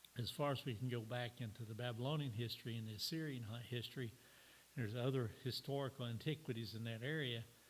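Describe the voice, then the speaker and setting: A man with a medium pitch and a somewhat breathy voice talks at a very fast pace with fairly even intonation. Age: 70s. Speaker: church teacher. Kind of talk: sermon. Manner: halting.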